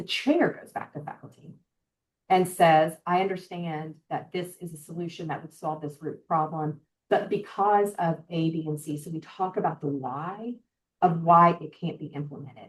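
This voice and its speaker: In a normal speaking voice, a woman talks at a moderate pace with fairly low pitch and fairly even intonation, though her loudness swings widely. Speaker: healthcare organizational well-being leader. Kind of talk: webinar presentation; answering audience question. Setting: online webinar.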